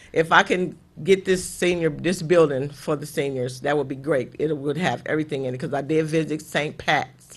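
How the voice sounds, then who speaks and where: A man with an American accent speaks at a moderate pace with hardly any pauses. His intonation is fairly even, and he has an unremarkable speaking voice. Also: fairly high pitch for a man. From Highland Park, Michigan (Detroit area). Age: 60s. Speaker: city worker for seniors. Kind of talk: TV interview.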